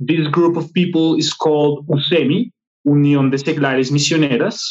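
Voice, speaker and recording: A man talks with a Spanish accent and fairly even intonation. His loudness stays very even throughout. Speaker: film editor and filmmaker. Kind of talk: interview conversation.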